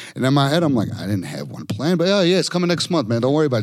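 A man talks at a very fast pace with an American accent and very wide pitch swings. Noticeable background noise runs under his voice. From Chicago. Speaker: personal injury lawyer. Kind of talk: podcast interview. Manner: animated.

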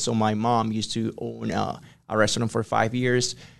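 A man with a Spanish accent, fairly even intonation and a moderate pace over a quiet background. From Ecuador. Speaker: business consultant. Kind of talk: interview. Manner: hesitant with fillers.

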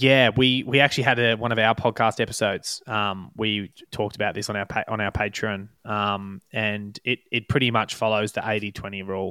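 This man has an unremarkable speaking voice, fairly low in pitch, with fairly even intonation. He keeps a moderate pace with hardly any pauses. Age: 20s. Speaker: professional runner and coach. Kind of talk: casual interview.

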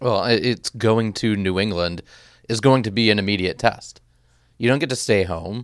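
Over a very clean recording with a silent background, a man uses an unremarkable speaking voice at a fairly low pitch with ordinary pitch variation. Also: moderate pace. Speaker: sports podcast host. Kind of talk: sports recap discussion.

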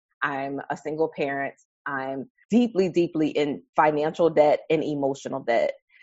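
A woman with a very deep, low pitch and an American accent, at a moderate pace with ordinary pitch variation. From US Northeast, Harlem, New York City. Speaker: therapist. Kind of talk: interview conversation.

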